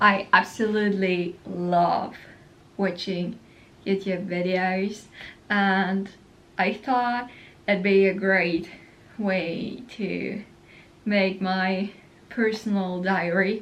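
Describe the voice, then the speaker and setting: A woman with a non-native accent speaks very slowly at a medium pitch, in a flat monotone. Long pauses come often, and the room echo is audible. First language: not English. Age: young. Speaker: vlogger. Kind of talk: casual chat. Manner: casual, rambling with fillers.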